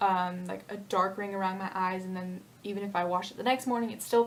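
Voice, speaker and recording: A loud woman's voice at a very fast pace, with audible room echo. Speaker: beauty vlogger. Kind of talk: makeup tutorial. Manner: casual, filler-heavy.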